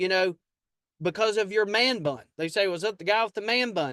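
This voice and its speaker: Bright and sharp in tone, a man speaks at a high pitch and moderate pace, with a dry, close sound with no echo and a quiet background. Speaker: sales trainer. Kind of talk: sales training talk. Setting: video call. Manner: casual, repetitive stammering.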